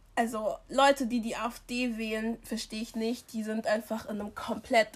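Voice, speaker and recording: A woman with a fairly high pitch speaks at a moderate pace in a monotone, flat intonation against noticeable background noise. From Germany, immigrant family background. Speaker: podcast co-host. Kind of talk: casual chat.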